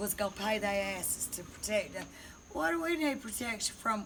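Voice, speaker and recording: A woman's animated tone in a Southern US accent, medium pitch with very wide pitch swings, moderate pace, noticeable background noise and audible room echo. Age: 60s. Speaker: storyteller. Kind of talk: casual chat.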